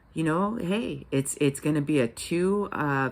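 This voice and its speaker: Speaking at a moderate pace, a woman uses a very deep, low pitch that makes very wide swings. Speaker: vlogger. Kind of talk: casual vlog monologue. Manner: rambling with many fillers.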